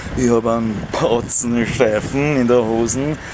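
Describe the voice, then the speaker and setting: Over noticeable background noise, a man with a Viennese accent talks at a very slow pace with fairly even intonation. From Vienna. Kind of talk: casual talk to camera. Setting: outdoors. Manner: rambling, slightly tipsy.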